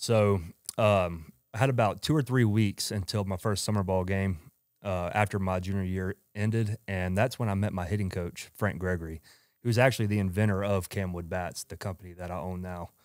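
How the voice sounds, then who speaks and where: Recorded very cleanly against a silent background, a man talks at a moderate pace with fairly even intonation and a fairly low pitch. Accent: strong Georgia Southern. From US South, Georgia. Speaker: entrepreneur, former college baseball player. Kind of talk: podcast interview, casual chat.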